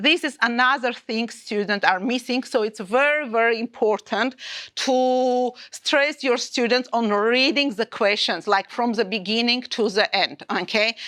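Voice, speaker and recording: A woman with an Armenian accent speaks at a fairly slow pace, her pitch fairly high. Her tone is bright and sharp, with ordinary pitch variation. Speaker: maths teacher. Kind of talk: teacher training session. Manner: halting.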